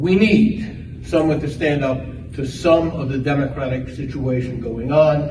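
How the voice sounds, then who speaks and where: A man with a New York accent speaks at a fairly high pitch and fairly slow pace, with ordinary pitch variation. Noticeable background noise and audible room echo fill the recording. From New York, the Bronx. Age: old. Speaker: political candidate. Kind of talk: campaign speech. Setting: club meeting with audience.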